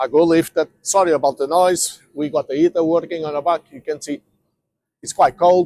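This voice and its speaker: The speaker has a non-native accent and a monotone, flat intonation. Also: man. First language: not English. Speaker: van dealer and mechanic. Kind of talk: tutorial. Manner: halting.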